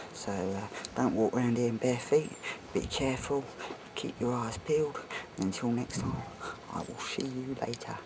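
Noticeable background noise and long, frequent pauses. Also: man, ordinary pitch variation, moderate pace. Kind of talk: casual vlog chat. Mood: amused, jokey. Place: open country. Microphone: phone near.

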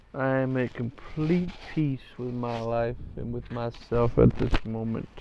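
Noticeable background noise accompanies a man speaking at a fairly slow pace. His pitch is medium and his intonation fairly even. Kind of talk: casual chat.

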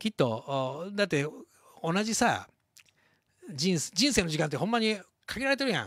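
A man with a Kansai accent speaks at a moderate pace in a high voice, his pitch swinging very widely. Long, frequent pauses break up his speech, and the sound is dry with no echo against a quiet background. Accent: Kansai Japanese. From Shodoshima, Kagawa, Japan; Kagawa, Japan. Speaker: leather craftsman hosting livestream. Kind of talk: casual livestream chat. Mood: cheerful, celebratory. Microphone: handheld.

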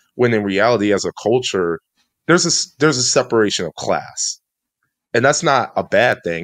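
A man with an American accent, very wide pitch swings and a moderate pace against a quiet background. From Chicago suburbs, US Midwest. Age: 20s. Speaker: podcast co-host. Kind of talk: casual chat. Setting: studio. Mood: calm, reflective. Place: home room. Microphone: studio mic.

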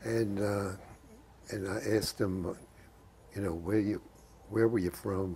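Over light background noise, a man with a very deep, low pitch speaks at a fairly slow pace in a dark, mellow, somewhat breathy tone with fairly even intonation. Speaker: war veteran. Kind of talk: interview answer. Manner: conversational, reminiscing. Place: home room. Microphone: lapel.

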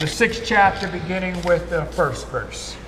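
Noticeable background noise sits behind a man with an American accent. He talks at a moderate pace with fairly even intonation. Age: 60s. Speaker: pastor. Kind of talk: sermon. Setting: church.

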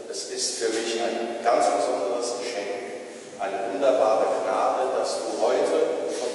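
Against light background noise and strong room echo, a man speaks at a very slow pace. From Niederfischbach, Germany. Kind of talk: speech to church congregation. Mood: warm, grateful. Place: church.

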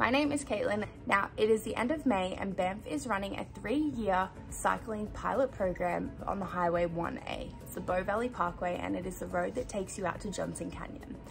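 A woman speaks with hardly any pauses. Clear music plays in the background. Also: moderate pace. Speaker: travel vlogger. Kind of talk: casual vlog chat. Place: home room. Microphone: phone near.

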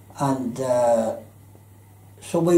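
A man with a Belfast accent speaks with audible room echo. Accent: Belfast Northern Irish. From Belfast, Northern Ireland; Northern Ireland. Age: 80s+. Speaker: retired electrician and former merchant seaman; interviewee. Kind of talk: life story interview. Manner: halting, many fillers. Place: home room.

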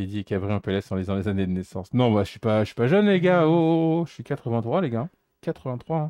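Against a quiet background, a man's dry, echo-free voice moves fairly quickly through very wide pitch swings. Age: 40s. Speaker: retro gamer; streamer repairing electronics. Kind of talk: casual chat. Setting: live stream. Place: home room.

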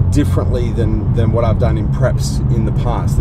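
A man keeps a moderate speed while loud background noise fills the recording. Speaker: fitness vlogger. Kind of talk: casual vlog chat. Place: car. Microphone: phone near.

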